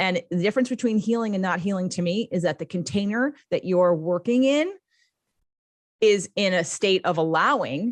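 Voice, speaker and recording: Her pitch is medium for a woman, with lively intonation and an animated tone. The sound is dry and close, with no echo. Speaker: life coach and podcaster. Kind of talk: interview. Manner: fast.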